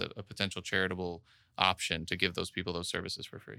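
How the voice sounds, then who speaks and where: In a very clean recording with a silent background, a man with a bright, sharp tone talks at a very fast pace in a monotone, flat way. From Miami, Florida. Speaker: business owner. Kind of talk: interview. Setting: office.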